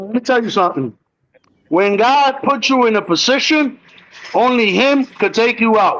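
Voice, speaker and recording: This man's voice sits at an extremely high pitch. He talks at a moderate pace. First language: Spanish. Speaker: predator catcher. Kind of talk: heated debate. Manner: sarcastic.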